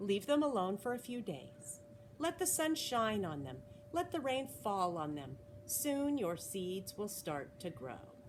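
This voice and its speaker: A woman's put-on character voice at medium pitch, fairly slow, with very wide pitch swings and clear background noise. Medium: read story.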